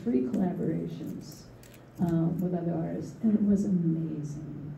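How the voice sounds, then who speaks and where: A woman with an American accent, fairly low pitch, vocal fry and a dark, mellow tone, in audible room echo. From US Northeast, Philadelphia. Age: 70s. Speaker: artist and art educator. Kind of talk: panel discussion. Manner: halting, with many fillers and repetitions.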